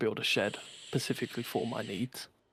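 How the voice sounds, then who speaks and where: A man speaks at a moderate pace, the sound dry and close with no echo. The recording is very clean, with a silent background. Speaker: podcast co-host and streamer. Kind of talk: casual chat. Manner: loud.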